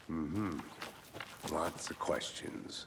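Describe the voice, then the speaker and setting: Someone uses a put-on character voice over clear background noise. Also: man. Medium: video game. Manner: dry, wry.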